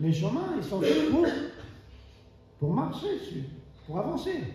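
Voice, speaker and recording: Audible room echo surrounds a man speaking at a high pitch. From Argentina, Buenos Aires. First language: Spanish (speaking French). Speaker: preacher. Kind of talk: sermon. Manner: halting, many fillers and restarts.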